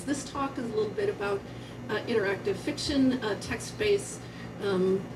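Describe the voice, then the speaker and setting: Noticeable background noise and audible room echo surround the recording. A woman speaks at a moderate pace in a fairly high voice with ordinary pitch variation. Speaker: university professor, conference speaker. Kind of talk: conference talk. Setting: theater stage with live audience. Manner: casual, hesitant with fillers.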